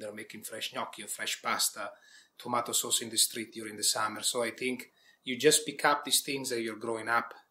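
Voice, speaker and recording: Speaking at a fairly quick pace, a man with an Italian accent keeps a medium pitch and fairly even intonation. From Italy, village near Milan. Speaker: executive chef. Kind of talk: interview.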